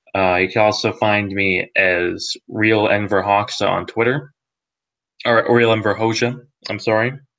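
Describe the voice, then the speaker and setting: Speaking at a fairly slow pace, a man with an American accent has a fairly low pitch and a bright, sharp tone. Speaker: meme page head admin, discussion host. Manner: hesitant, lots of filler words.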